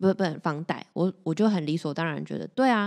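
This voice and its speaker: Here a woman talks at a very fast pace in a dark, mellow tone. Her pitch variation is ordinary, and the background is quiet. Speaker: podcast co-host. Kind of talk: casual chat.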